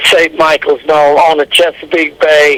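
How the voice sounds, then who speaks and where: A man speaks over noticeable background noise. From Delaware and Mid-Atlantic US. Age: 90s. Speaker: war veteran. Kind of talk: oral history interview. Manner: halting.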